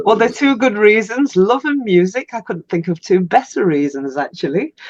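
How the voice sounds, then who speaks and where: With an English accent, a woman speaks at a fairly high pitch and a moderate pace. Her pitch swings very widely, and the sound is dry and close with no echo. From England. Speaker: podcast host. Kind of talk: interview.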